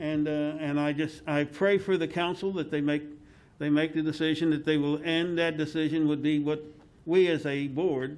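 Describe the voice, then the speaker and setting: A man with an American accent talks at a moderate pace and a fairly high pitch, in a flat monotone. He leaves long, frequent pauses. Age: 60s. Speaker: tourism board member. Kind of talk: public meeting discussion. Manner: halting.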